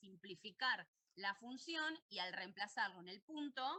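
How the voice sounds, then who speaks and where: Her intonation lively, a woman is speaking. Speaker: university math teacher. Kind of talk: lecture. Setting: online virtual class. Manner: fast.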